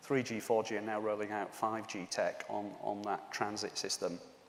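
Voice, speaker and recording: Speaking in a Yorkshire accent, a man keeps a moderate pace at a fairly low pitch. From Yorkshire, northern England. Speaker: conference speaker, telecom executive. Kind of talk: conference presentation. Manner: hesitant, many fillers.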